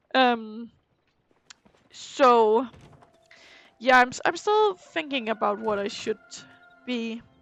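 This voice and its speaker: Music plays in the background as a woman with a fairly high pitch speaks very slowly, leaving long, frequent pauses. Her pitch variation is ordinary, while her loudness swings a lot. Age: 20s. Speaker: streamer and school teacher. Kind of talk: casual chat during gameplay stream. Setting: live stream.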